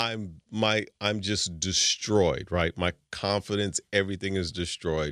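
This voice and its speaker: The speech comes at a fairly slow pace. The sound is dry and close with no echo, a very clean recording with a silent background. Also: man. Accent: American. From New York, Jamaican parents. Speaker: radio executive. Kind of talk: casual interview.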